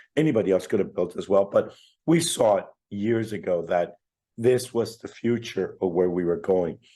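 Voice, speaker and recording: The speaker talks at a fairly slow pace with a Spanish accent. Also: man. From Chile, raised in Canada. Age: 60s. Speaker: fintech entrepreneur. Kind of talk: interview.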